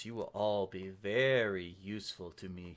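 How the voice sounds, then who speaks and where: Soft-spoken and fairly low in pitch, a man puts on a character voice. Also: moderate pace. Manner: very calm, quietly menacing.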